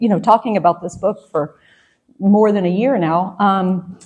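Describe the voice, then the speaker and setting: The woman's voice comes across somewhat breathy. She talks at a moderate pace with an American accent. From US South, suburban Atlanta. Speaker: historian, professor, author. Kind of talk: interview.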